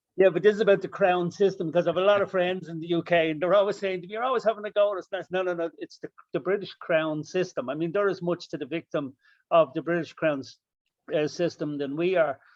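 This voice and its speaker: Recorded with a dry, close sound and no echo, a man with an Irish accent talks at a very fast pace in a high-pitched voice with fairly even intonation. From Ireland. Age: 50s. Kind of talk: panel discussion.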